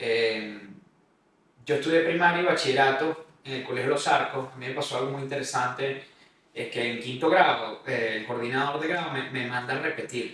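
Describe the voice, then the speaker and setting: A man with a Caracas accent speaks at a medium pitch and moderate pace, with ordinary pitch variation and audible room echo. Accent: Venezuelan Spanish (Caracas). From Venezuela, Caracas. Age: 30s. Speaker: podcast host, real estate consultant. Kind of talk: personal life story monologue.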